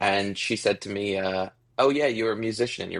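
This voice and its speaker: In a Canadian accent, a plain, everyday voice speaks at a moderate pace. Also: man. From Ontario, Canada. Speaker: musician. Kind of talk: interview.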